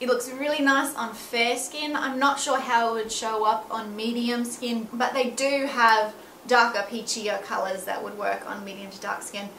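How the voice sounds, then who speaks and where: An Australian accent at a moderate pace with hardly any pauses and big swings in loudness, plus audible room echo and noticeable background noise. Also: woman, fairly high pitch for a woman. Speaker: beauty vlogger and makeup artist. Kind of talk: product review vlog. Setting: at home. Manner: animated.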